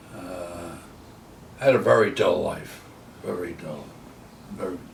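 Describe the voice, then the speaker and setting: With audible room echo, a man talks at a fairly slow pace in an American accent. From New Jersey, US. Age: 90s. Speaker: war veteran. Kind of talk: life story interview. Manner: halting.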